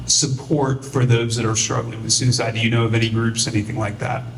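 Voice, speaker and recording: A man's voice amid noticeable background noise, with audible room echo. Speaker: panel moderator. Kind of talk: panel discussion. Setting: community event panel. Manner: loud.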